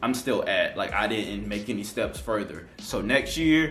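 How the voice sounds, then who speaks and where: Audible room echo surrounds this man's voice. There is also noticeable background noise. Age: 20s. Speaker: YouTuber. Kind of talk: casual vlog monologue. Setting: at home on couch. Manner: animated.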